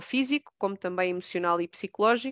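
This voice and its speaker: A woman speaks at a moderate pace in a European Portuguese accent. The sound is dry and close with no echo, over a quiet background. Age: 30s. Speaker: educator and trainer using art. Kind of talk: casual interview.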